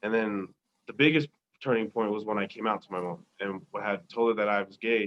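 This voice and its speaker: A man with a normal speaking voice talks at a fairly quick pace, his fairly low pitch showing ordinary variation. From Tonga, raised in Colorado. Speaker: podcast guest. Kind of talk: interview answer.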